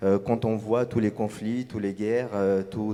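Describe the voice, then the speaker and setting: A man's fairly low voice at a moderate pace. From Tunisia. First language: Arabic (speaking French). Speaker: novelist. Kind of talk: panel discussion. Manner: halting, many hesitations.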